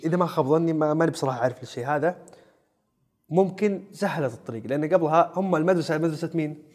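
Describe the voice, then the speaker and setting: With ordinary pitch variation, the talking moves at a fairly quick pace. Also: man, fairly high pitch for a man. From Saudi Arabia, Najd (Riyadh region). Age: 20s. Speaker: actor. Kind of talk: casual chat. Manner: animated.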